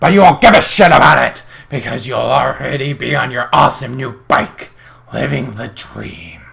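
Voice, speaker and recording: A man puts on a raspy character voice. His pitch sits in the medium range. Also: moderate pace. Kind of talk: comedic reading of an online ad. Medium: read story. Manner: brash, boisterous.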